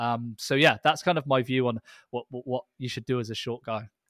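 A man talks at a fairly quick pace in a plain, everyday voice of medium pitch, with fairly even intonation and a dry, close sound free of echo on a very clean recording with a silent background. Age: 20s. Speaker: performance coach. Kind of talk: casual chat.

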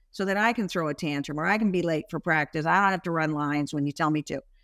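A woman's unremarkable speaking voice, fairly low in pitch with ordinary pitch variation, with an American accent, in a dry, close sound with no echo and a very clean recording with a silent background. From Washington State, US. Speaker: brand executive and author. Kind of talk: interview.

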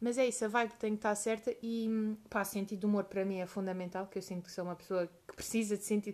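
A woman with a medium pitch races along at a very fast pace, with hardly any pauses and monotone, flat intonation. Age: 20s. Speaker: podcast co-host. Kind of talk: casual chat.

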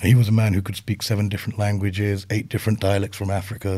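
A man speaks with a British accent at a fairly low pitch. His voice is somewhat breathy. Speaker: speech coach. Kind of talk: interview. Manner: conversational, storytelling.

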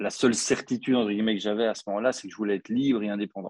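A man speaks in a normal speaking voice, fairly low in pitch, with fairly even intonation. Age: 40s. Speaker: copywriter. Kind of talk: interview.

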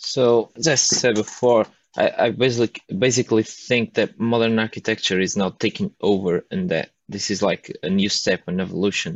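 A man with a Portuguese accent talks at a moderate pace with hardly any pauses. His pitch is medium, with ordinary variation. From northern Portugal. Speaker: architecture student. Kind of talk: casual chat. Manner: halting.

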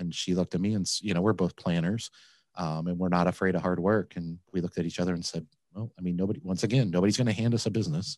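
A man with a very deep, low pitch talks at a very fast pace with fairly even intonation. The background is quiet, and the sound is dry and close with no echo. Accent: American. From Flint, Michigan. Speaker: laundromat owner. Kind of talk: interview.

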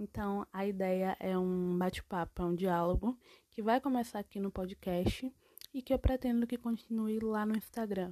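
With a dark, mellow tone at medium pitch, a woman speaks at a moderate pace and fairly even intonation in a dry, close sound with no echo. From Bahia, Brazil. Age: 20s. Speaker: podcaster. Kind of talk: casual solo podcast monologue.

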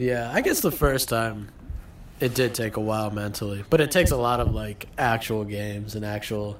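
A man with a medium pitch talks amid noticeable background noise. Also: ordinary pitch variation, moderate pace. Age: 20s. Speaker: podcast co-host. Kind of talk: casual chat.

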